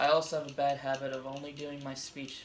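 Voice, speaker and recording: Noticeable background noise is present. Over it, the talking goes at a fairly quick pace. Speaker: college student. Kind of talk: class speech presentation. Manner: reading from script.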